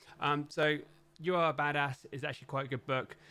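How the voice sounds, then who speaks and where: A man with a London accent at a fairly quick pace. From London, England. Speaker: tech YouTuber and software team manager. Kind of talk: casual recommendations monologue. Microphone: professional studio mic.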